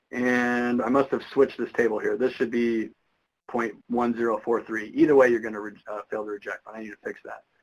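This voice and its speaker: At a fairly quick pace, a man talks in a medium pitch with monotone, flat intonation and big swings in loudness. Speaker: statistics instructor. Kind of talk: lecture. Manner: fast.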